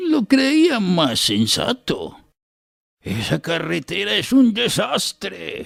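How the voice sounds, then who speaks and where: A put-on character voice is heard. It moves at a very slow pace. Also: man. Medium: read story. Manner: affable.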